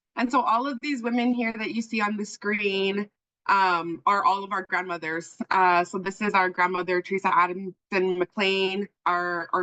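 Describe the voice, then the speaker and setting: A woman speaks loudly at a moderate pace with hardly any pauses. Her bright, sharp tone sounds dry and close, with no echo. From Okanagan, British Columbia (syilx Nation). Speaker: journalism trainer. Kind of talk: workshop presentation. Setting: video call.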